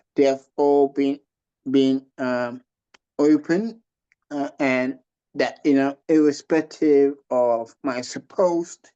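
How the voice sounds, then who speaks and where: The voice has a dark, mellow tone and fairly even intonation. It moves at a very slow pace. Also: man. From West Africa, Liberia and Ghana. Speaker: pastor. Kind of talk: interview testimony. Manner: halting with many fillers.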